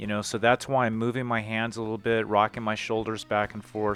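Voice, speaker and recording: Fairly even intonation over music in the background. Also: man. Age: 60s. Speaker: PE teacher. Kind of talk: tutorial.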